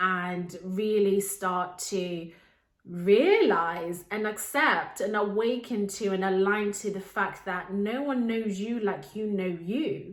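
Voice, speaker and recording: Speaking very slowly with a Zimbabwean accent, a woman uses a medium pitch and fairly even intonation while audible room echo surrounds her voice. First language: Shona. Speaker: life coach and podcast host. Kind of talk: podcast monologue.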